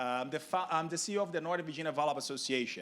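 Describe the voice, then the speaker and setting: This man speaks with a Brazilian Portuguese accent. His pitch varies in an ordinary way. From Brazil, Rio de Janeiro. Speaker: sports organization executive. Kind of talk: panel discussion. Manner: careful enunciation.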